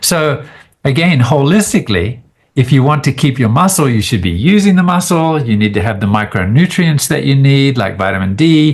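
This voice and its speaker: Somewhat breathy and fairly high-pitched, a man with a slight Australian accent talks at a moderate pace with very wide pitch swings, on a very clean recording with a silent background. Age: 60s. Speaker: biochemist and immunologist. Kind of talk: podcast interview. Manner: casual, hesitant with fillers.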